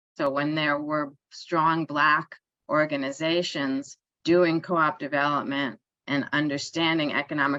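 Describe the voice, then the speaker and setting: Against a quiet background, a bright, sharp voice in a New York accent moves at a fairly slow pace with monotone, flat intonation. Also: woman. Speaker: author and cooperative economics researcher. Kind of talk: online conference talk. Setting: online event. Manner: hesitant fillers.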